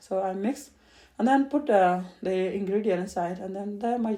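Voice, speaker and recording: A woman speaks at a moderate pace in a medium pitch with ordinary pitch variation. Her tone is dark and mellow. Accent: non-native. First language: not English. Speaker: home cook. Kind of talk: cooking tutorial. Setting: home kitchen. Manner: halting.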